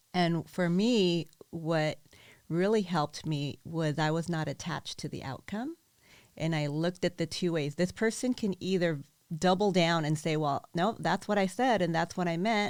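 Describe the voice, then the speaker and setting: Over a very clean recording with a silent background, a woman with an unremarkable speaking voice talks at a fairly low pitch with ordinary pitch variation. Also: moderate pace. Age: 50s. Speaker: event organizer and coach. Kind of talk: casual chat.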